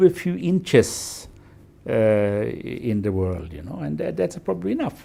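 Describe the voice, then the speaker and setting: With a Norwegian accent and a dark, mellow tone, the speaker moves through very wide pitch swings at a fairly slow pace on a very clean recording with a silent background. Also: man. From Norway, west coast. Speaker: environmentalist and NGO founder. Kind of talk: interview. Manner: halting, many fillers.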